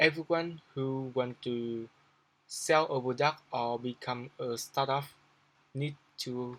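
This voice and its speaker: A man speaks at a very slow pace with a non-native accent. His intonation stays fairly even. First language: not English. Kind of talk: business tutorial talk to camera. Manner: halting, hesitant, many repetitions.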